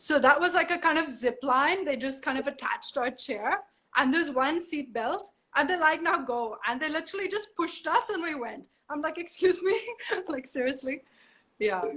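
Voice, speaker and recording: Raising and projecting her high-pitched voice, a woman speaks at a moderate pace in a bright, sharp, animated tone with lively intonation. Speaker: model. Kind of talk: casual interview. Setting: video call from home.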